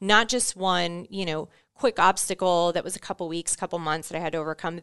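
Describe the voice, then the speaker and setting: Over a quiet background, a woman with an American accent speaks at a fairly low pitch with ordinary pitch variation. The sound is dry and close, with no echo. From Florida, Orlando. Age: 30s. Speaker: podcast guest, veteran and team manager. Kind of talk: interview conversation.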